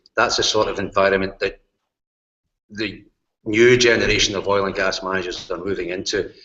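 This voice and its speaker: A man speaks at a fairly quick pace with a Glasgow accent. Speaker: university lecturer, course leader. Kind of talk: course presentation in online hangout. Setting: video call broadcast.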